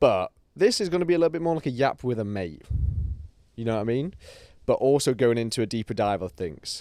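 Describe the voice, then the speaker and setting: A man speaks at a fairly quick pace with lively intonation. The recording is very clean with a silent background. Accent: British. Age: 20s. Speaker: bodybuilder and online personal trainer podcaster. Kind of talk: casual solo podcast chat. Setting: speaking to a camera. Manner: slightly halting, stutters a little; relaxed, chill.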